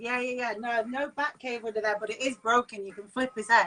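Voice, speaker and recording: Using a Mancunian accent, a woman speaks at a high pitch in a bright, sharp tone, with big swings in loudness. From Manchester, England. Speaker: vocalist and broadcaster. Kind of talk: casual chat. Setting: Instagram live stream.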